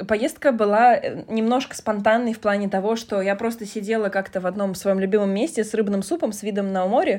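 Here is a woman with an unremarkable speaking voice at a medium pitch. She speaks at a fairly quick pace with ordinary pitch variation. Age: 30s. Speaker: podcast host. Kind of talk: casual chat.

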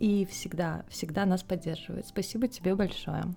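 A woman speaks in a normal speaking voice at a moderate pace, with ordinary pitch variation. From Russia, Volga region (Tolyatti). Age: 20s. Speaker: book podcast co-host. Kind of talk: casual chat.

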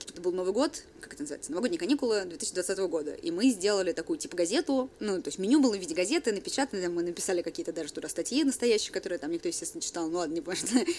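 The pitch swings very widely and loudness jumps a lot. Delivery is very fast, with hardly any pauses. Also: woman, medium pitch for a woman. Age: 20s. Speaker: bar manager. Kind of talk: casual chat.

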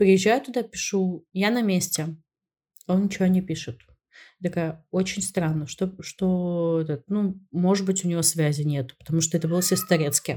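On a very clean recording with a silent background, a woman with a fairly low pitch and a dark, mellow tone speaks somewhat breathily at a moderate pace with ordinary pitch variation. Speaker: podcast co-host. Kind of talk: casual chat. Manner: interrupts often.

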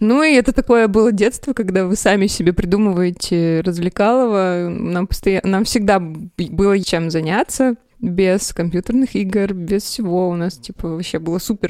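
Using a normal speaking voice, a woman speaks at medium pitch and a moderate pace with ordinary pitch variation. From Russia, Sverdlovsk region. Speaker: graphic designer. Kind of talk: casual chat.

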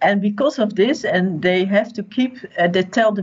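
Ordinary pitch variation runs through this somewhat breathy voice. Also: woman. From Netherlands. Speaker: independent journalist. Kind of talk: radio interview.

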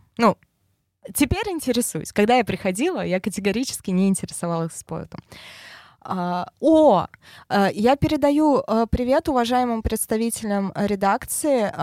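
Speaking at a fairly slow pace with long, frequent pauses, a woman uses a fairly high pitch and lively intonation in a dry, close recording with no echo. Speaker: head of traffic team. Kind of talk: casual interview.

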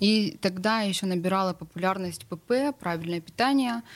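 A woman's plain, everyday voice at medium pitch, with ordinary pitch variation and a moderate pace. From St Petersburg, Russia. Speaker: blogger, nutrition marathon author. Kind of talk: casual talk show chat. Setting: radio studio.

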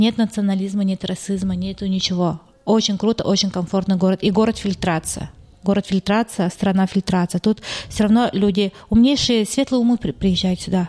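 A plain, everyday voice from a woman at medium pitch, moderate pace and fairly even intonation, dry and close with no echo. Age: 30s. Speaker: real estate agency owner. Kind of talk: casual interview.

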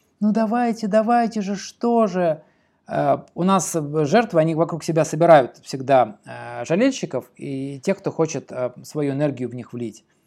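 Speaking at a fairly slow pace with long, frequent pauses, a man with a dark, mellow tone and high pitch swings it very widely, in a very clean recording on a silent background. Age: 40s. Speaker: podcast host and writing teacher. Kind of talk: solo podcast monologue. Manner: animated.

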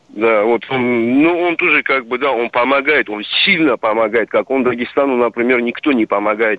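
Noticeable background noise sits under a man's voice. His pitch varies in an ordinary way. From Dagestan, Russia. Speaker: caller. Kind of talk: phone-in question. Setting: phone call. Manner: halting.

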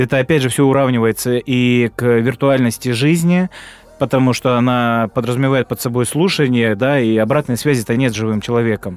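With a normal speaking voice at a medium pitch, a man talks at a fairly quick pace with ordinary pitch variation, the sound dry and close with no echo. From Krasnodar, southern Russia. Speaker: podcast co-host. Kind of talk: casual chat.

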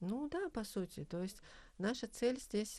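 Speaking very slowly, a woman uses lively intonation and a dark, mellow tone. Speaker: university lecturer and feminist activist. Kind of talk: interview conversation. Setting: studio. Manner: formal, academic, with hesitations.

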